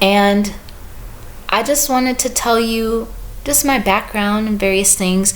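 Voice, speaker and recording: A normal speaking voice from a woman, medium in pitch, at a fairly slow pace. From US Midwest, St. Louis. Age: 30s. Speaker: book reviewer and visual artist. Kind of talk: casual vlog talk to camera.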